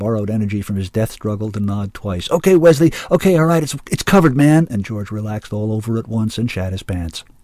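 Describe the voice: The voice is plain reading aloud, delivered with lively intonation.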